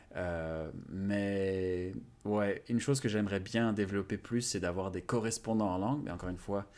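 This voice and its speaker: A man talks in a fairly low pitch with ordinary pitch variation. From France. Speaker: YouTuber on language learning. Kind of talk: interview. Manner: hesitant, many fillers.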